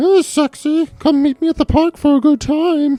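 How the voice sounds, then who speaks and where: Faint music plays behind a put-on character voice that speaks at a high pitch and a moderate pace. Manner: silly, seductive, comedic.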